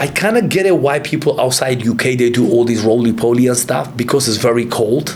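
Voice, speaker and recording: A man with a medium pitch and ordinary pitch variation speaks at a moderate pace in an animated tone, his loudness very even, with audible room echo and noticeable background noise. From Kurdistan, Iraq, moved to UK young. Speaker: martial arts fighter and gym owner. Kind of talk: casual interview chat.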